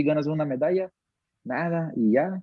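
A man speaks with a Portuguese accent. His pitch is fairly high, with ordinary pitch variation. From Brazil, Manaus. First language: Portuguese (speaking Spanish). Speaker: MMA fighter. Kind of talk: interview.

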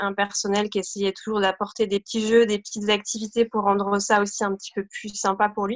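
Her pitch is medium. The woman speaks at a moderate pace. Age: 30s. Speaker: parent of a diabetic child. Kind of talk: testimony. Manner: halting.

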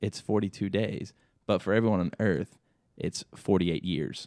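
In an unremarkable speaking voice, a man talks at a moderate pace and a fairly low pitch. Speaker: podcast co-host. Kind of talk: casual chat.

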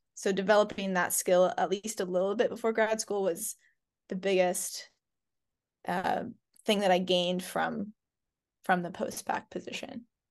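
Against a quiet background, a woman speaks in a monotone, flat way with long, frequent pauses. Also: medium pitch for a woman, moderate pace. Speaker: ecology PhD student. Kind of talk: casual interview chat.

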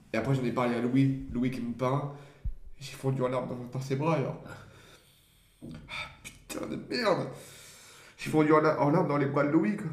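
A man speaks at a fairly slow pace with long, frequent pauses, his medium pitch showing ordinary variation. The room has audible echo and noticeable background noise. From Champagne-Ardenne, near Reims. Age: young. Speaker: aspiring actor and comedian. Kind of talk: casual chat.

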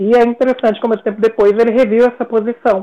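A woman speaks in a dark, mellow tone. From Brasília, Brazil. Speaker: psychology professor. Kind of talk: interview conversation.

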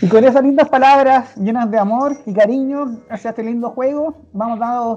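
At a fairly high pitch, a woman speaks with fairly even intonation. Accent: Chilean. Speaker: podcast host. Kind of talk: casual chat.

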